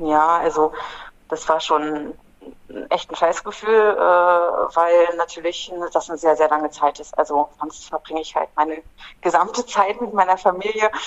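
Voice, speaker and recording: A woman with an ordinary speaking voice, fairly low in pitch with ordinary pitch variation, speaks at a fairly slow pace with big swings in loudness. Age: 40s. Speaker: climate activist, former prisoner. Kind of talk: interview.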